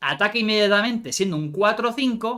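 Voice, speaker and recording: Projecting in a raised voice, a man delivers his words with a bright, sharp tone. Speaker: card game content creator. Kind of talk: live stream card review. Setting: live stream. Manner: fast.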